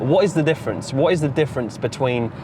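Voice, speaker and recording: A man with an English accent at a very fast pace, over noticeable background noise. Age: 20s. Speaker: forex trader and motivational vlogger. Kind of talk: motivational monologue vlog. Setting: in a car. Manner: casual, repetitive with false starts.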